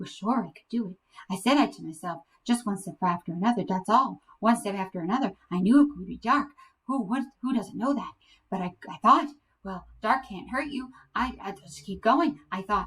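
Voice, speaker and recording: A woman puts on a shaky character voice at medium pitch, with lively intonation and a moderate pace. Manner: fast, breathless.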